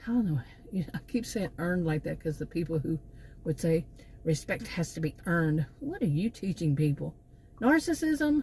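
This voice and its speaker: A woman with a Texan accent speaks at a moderate pace, her fairly low, somewhat breathy voice dark and mellow in tone. Her intonation is lively, broken by long, frequent pauses. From Texas. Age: 60s. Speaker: vlogger, former college teacher. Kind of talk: casual vlog monologue. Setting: in her car. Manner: halting, many fillers and repeats.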